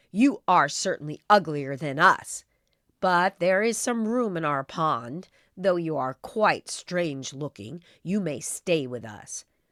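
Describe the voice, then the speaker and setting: In a put-on character voice, a woman speaks at a fairly slow pace with a fairly low pitch on a very clean recording with a silent background. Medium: read story.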